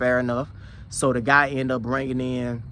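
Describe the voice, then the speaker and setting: A man with an Alabama accent talks at a fairly quick pace. His pitch sits in the medium range. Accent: Southern US (Alabama). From Alabama, US South. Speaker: security professional and YouTuber. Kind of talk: casual vlog monologue. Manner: conversational, with repetitions and fillers.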